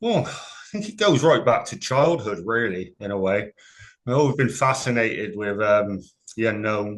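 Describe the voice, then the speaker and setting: A man speaks with a Gloucestershire accent at a fairly slow pace. His pitch is fairly low, with ordinary variation. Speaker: paranormal investigator. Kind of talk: interview.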